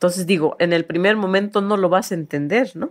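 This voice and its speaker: Fairly quick delivery in an unremarkable speaking voice. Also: woman. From Oaxaca, Mexico (Chontal Alta region). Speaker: master mezcal maker. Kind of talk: interview.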